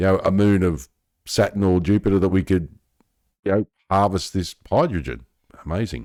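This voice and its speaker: A man with an Australian accent speaks at a moderate pace in a very deep, low voice, leaving long, frequent pauses. His loudness stays very even on a very clean recording with a silent background. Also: ordinary pitch variation. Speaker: science news youtuber. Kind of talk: casual commentary reading article aloud. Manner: conversational, reflective asides.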